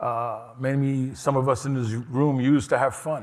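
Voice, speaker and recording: A man's voice in a New York accent, fairly even in intonation, with audible room echo. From New York City, Lower East Side. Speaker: harm reduction organization director. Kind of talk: conference talk.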